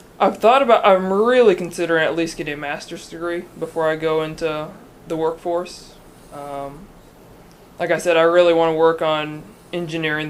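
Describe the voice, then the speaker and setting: A man with an American accent has an unremarkable speaking voice, fairly high in pitch, at a moderate pace. His intonation is fairly even, but his loudness swings widely. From northwest Oklahoma, US. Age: young. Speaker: student interviewer. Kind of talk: interview.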